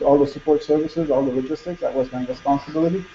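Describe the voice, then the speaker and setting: A man with a Quebec accent talks at a fairly high pitch and a fairly quick pace against noticeable background noise. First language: French. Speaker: conference speaker, former hospital logistics manager. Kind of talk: conference presentation. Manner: halting, many repetitions.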